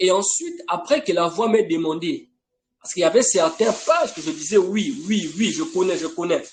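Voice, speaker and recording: A man speaks at a high pitch with very wide pitch swings. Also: moderate pace. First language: not French (an African language) (speaking French). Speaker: preacher. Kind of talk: sermon. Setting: online live broadcast. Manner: emphatic, insistent.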